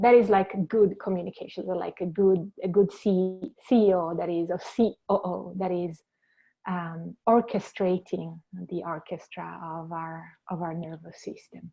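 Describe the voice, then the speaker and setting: Speaking with a strong Italian accent at a fairly slow pace, a woman uses a medium pitch with big swings in loudness. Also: fairly even intonation. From Italy, Venice. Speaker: clinical counsellor. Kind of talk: interview. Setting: podcast. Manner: halting.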